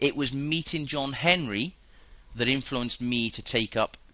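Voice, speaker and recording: With a British accent, a man speaks at medium pitch. His tone is bright and sharp. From UK. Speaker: currency trader. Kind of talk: webinar presentation.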